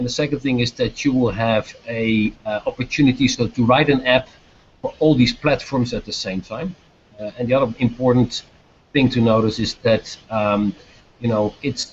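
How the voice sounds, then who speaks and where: Somewhat breathy and with a Dutch accent, a man speaks at a moderate pace with medium pitch and fairly even intonation. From Netherlands. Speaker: business executive. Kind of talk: video chat Q&A with students. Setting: video call. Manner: hesitant, many fillers.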